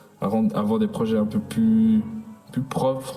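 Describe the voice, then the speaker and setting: A man talks at a medium speed and with fairly even intonation while music plays in the background. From Switzerland (French-speaking, Fribourg region). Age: 20s. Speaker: student and music producer. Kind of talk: presentation of a school project. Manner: halting, many fillers.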